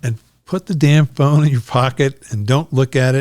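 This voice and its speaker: Somewhat breathy, a man talks at a fairly slow pace. His pitch is medium and his intonation fairly even. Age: 70s. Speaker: podcast host. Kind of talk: casual interview conversation. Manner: repetitive, hesitant restarts.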